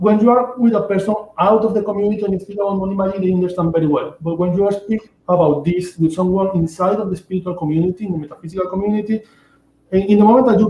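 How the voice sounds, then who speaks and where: A man with a Venezuelan accent, very fast pace, high pitch, and fairly even intonation. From Venezuela (Amazon region). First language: Spanish. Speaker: shaman and author. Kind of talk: interview. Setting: livestream. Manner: halting, with repetitions.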